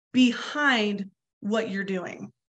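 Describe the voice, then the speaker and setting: The speaker has a General American accent and ordinary pitch variation. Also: woman. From Colorado. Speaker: softball coach. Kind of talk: webinar instruction. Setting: video webinar. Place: home room. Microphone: webcam.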